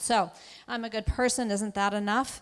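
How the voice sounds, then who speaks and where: Someone with a New England accent talks at a fairly quick pace in a very clean recording with a silent background. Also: woman. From Massachusetts. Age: 60s. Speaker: anti-racism speaker. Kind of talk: keynote talk. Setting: auditorium with audience.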